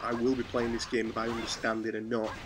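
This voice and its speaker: Talking very fast in a flat monotone at medium pitch, a man comes through noticeable background noise. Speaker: gaming YouTuber. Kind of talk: casual commentary video.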